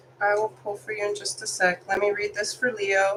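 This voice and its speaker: Against noticeable background noise, a woman talks at a moderate pace and medium pitch, with ordinary pitch variation. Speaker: tarot reader. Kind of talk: live tarot reading. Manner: casual.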